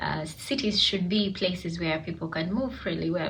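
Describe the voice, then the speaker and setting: A woman speaks with a fairly low pitch, noticeable background noise, and audible echo in the room. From Uganda, Kampala. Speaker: student. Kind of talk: personal reflection monologue. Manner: hesitant, many fillers.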